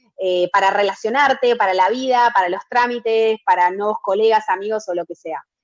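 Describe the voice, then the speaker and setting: A woman is speaking. Her pace is moderate. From Argentina. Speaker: entrepreneur. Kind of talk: interview. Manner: hesitant, many fillers.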